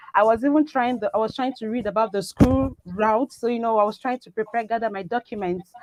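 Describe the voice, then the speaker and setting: A woman with a Nigerian accent speaks at a fairly high pitch in dry, close sound with no echo. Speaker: biomedical scientist. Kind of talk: talk show interview. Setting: live online show.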